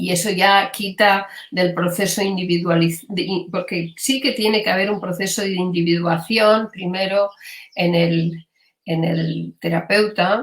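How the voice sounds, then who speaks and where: A woman's medium-pitched voice with a Catalan accent, fairly slow in pace and fairly even in intonation. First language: Catalan (speaking Spanish). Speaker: gestalt psychotherapist. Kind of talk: interview. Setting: live stream. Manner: hesitant, many fillers.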